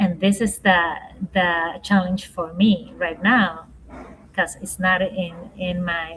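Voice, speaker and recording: A woman with a Spanish accent at a medium pitch, very slow and monotone, flat in intonation, against noticeable background noise. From Ecuador. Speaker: leadership coach and speaker. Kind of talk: podcast interview. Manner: slow, halting.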